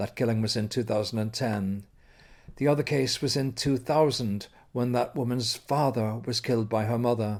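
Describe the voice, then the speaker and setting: In an Irish accent, a man speaks at a medium pitch and moderate pace with fairly even intonation on a very clean recording with a silent background. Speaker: radio interviewer. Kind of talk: scripted narration. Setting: outdoors.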